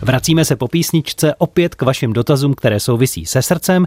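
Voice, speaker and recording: A man talks at a fairly quick pace in a dark, mellow, somewhat breathy tone with lively intonation. The sound is dry and close with no echo, in a very clean recording with a silent background. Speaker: radio host. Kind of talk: radio magazine hosting. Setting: radio studio.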